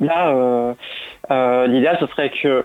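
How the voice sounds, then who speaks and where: A woman talks at a fairly slow pace. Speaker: activist. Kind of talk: radio interview. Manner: halting, many repetitions.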